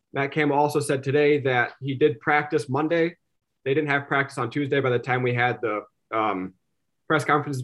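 Against a quiet background, a man with an Upper Midwest accent talks at a very fast pace, his fairly high pitch held in fairly even intonation. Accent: Upper Midwest American. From South Dakota, Sioux Falls. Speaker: sports journalist. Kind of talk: casual chat.

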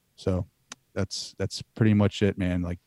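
Man with an American accent, fairly low in pitch and monotone, flat in intonation, dry and close with no echo, on a very clean recording over a silent background. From US East Coast, southern Delaware. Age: 30s. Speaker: podcaster. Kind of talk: casual interview.

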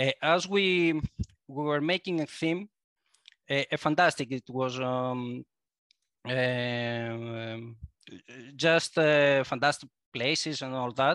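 On a very clean recording with a silent background and dry, close sound with no echo, a man with fairly high pitch speaks at a very slow pace. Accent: Greek. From Greece. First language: Greek. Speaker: board game designer. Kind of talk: casual interview. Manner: halting, searching for words.

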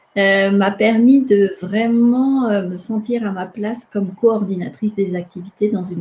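Speaking fairly slowly, a woman's medium-pitched voice is dark, mellow, and somewhat breathy, with ordinary pitch variation. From Madagascar. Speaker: theology student. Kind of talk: interview.

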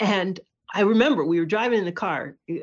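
A woman with an American accent speaks at a moderate pace in an unremarkable speaking voice, over a quiet background. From New York, Hudson Valley. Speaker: author and journalist. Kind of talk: casual interview.

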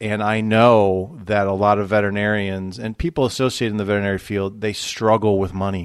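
A man speaks at a moderate pace with a fairly low pitch and a Midwestern American accent, on a very clean recording with a silent background. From US Midwest, Toledo, Ohio. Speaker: financial advisor. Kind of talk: interview.

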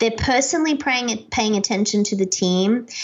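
This woman speaks at a fairly high pitch with ordinary pitch variation. Her pace is moderate. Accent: Australian. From Australia. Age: 40s. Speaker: keynote speaker and author. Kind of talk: podcast interview. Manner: animated.

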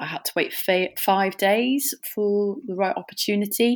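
This is a woman speaking. She has a Welsh accent. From North Wales. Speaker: paddleboard instructor and adventurer. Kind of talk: interview.

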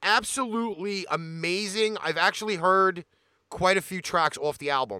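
Raised and projected, the voice has a bright, sharp tone, ordinary pitch variation and a moderate pace. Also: man, high pitch for a man. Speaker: radio host. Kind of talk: radio DJ patter, live show intro and back-announcing tracks. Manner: energetic, punchy broadcaster delivery.

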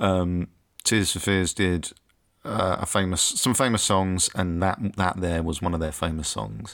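On a very clean recording with a silent background, a man with an English accent speaks at a moderate pace in a very deep, low pitch. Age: 30s. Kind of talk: casual chat. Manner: halting.

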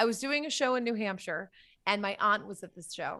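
At a very fast pace, a woman with an American accent speaks in a fairly high, bright, sharp tone. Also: very clean recording, silent background. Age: 30s. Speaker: comedian. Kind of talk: casual chat.

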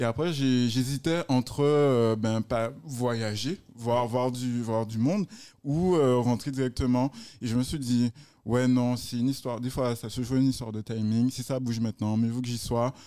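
Pitched in a medium range with a dark, mellow tone, a man speaks at a fairly slow pace with fairly even intonation. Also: very clean recording, silent background. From Guadeloupe. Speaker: entrepreneur. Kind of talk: casual interview chat. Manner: halting, repeats words.

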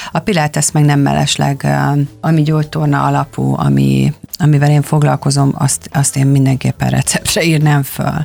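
Over noticeable background noise, the voice holds a very even loudness. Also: woman, moderate pace. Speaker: pilates instructor and fitness trainer. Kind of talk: casual interview.

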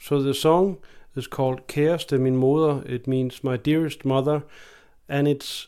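In a Danish accent, a man with a fairly high pitch and a dark, mellow tone speaks at a fairly slow pace with fairly even intonation on a very clean recording with a silent background. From Denmark. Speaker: folk fiddler and guest radio presenter. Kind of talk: music radio presenting. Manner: casual with filler hesitations.

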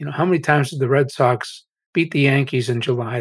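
Speaking with an American accent, a man uses a medium pitch and fairly even intonation. His fairly quick delivery is somewhat breathy. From Massachusetts, US. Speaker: AI researcher and author. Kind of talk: interview.

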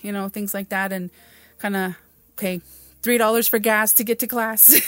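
In a very clean recording with a silent background, a woman talks in a monotone with flat intonation. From Mescalero Apache reservation, New Mexico. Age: 40s. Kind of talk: interview.

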